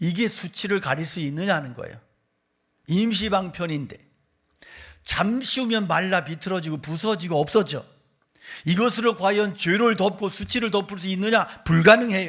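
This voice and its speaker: On a very clean recording with a silent background, a man with a high pitch speaks in an animated tone at a moderate pace, with ordinary pitch variation and long, frequent pauses. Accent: slight Gyeongsang. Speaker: pastor. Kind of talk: sermon.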